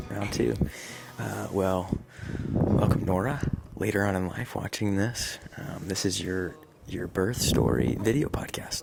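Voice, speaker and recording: A man whispers quietly at a fairly slow pace, with audible room echo and noticeable background noise. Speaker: father and vlogger. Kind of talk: casual chat. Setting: at home. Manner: whispering, quiet.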